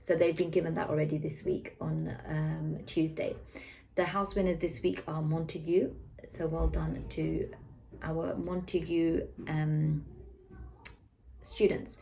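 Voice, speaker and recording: A woman with a British accent at a fairly slow pace, with long, frequent pauses and audible room echo. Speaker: school teacher giving weekly update. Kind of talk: weekly school announcements to camera.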